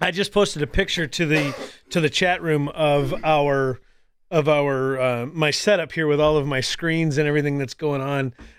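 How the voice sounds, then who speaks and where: A plain, everyday voice with fairly even intonation and a moderate pace, on a very clean recording against a silent background. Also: man, fairly high pitch for a man. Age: 40s. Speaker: podcast host and radio host. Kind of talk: casual chat. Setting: live stream.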